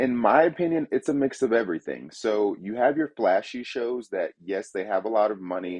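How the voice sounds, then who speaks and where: He has a plain, everyday voice at a medium pitch. His pace is moderate and his intonation lively. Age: 30s. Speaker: haunted house creator. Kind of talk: interview.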